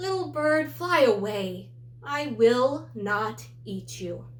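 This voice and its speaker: A woman uses a put-on character voice at a very slow pace. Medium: read story. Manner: grumbly, irritated by noise.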